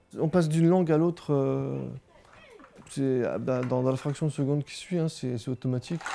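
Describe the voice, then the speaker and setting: A man at a moderate pace with fairly even intonation and long, frequent pauses, against noticeable background noise. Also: fairly high pitch for a man. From Brittany, France (Quimper). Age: 30s. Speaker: father of a bilingual family. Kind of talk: interview testimony. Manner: hesitant, with repetitions.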